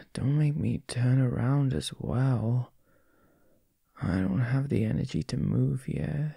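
Soft-spoken and very slow, the voice comes through as a dry sound with no echo against a quiet background. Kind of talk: intimate roleplay audio, addressing listener. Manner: sleepy, groggy just-woke murmur.

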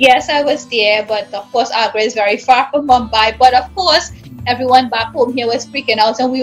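Faint music plays behind a woman speaking. She has a high pitch and a Trinidadian accent. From Trinidad and Tobago. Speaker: English teacher. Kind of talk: interview answer. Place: home room. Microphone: video call.

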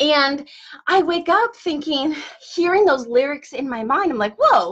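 Against a quiet background, a woman talks at a fairly slow pace. Her pitch swings very widely. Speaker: wellness coach. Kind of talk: motivational live-stream talk. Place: office. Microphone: webcam.

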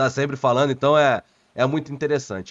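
A man at a very fast pace, fairly high pitch and fairly even intonation, against a quiet background. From Rio de Janeiro, Brazil. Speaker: football pundit and YouTuber; football pundit, YouTuber. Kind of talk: interview. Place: home room.

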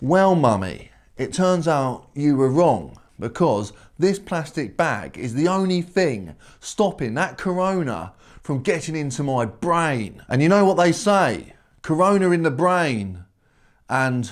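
A man's fairly slow speech with very wide pitch swings against a quiet background. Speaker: comedy vlogger. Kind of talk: comedic monologue to camera. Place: home room. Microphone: phone near.

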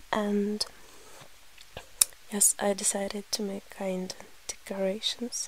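A woman speaks at a very slow pace with long, frequent pauses, her medium pitch held in a flat monotone. Background noise is noticeable. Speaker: ASMR creator. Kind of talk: ASMR eating video, soft-spoken talk to camera. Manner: soft, quiet, breathy.

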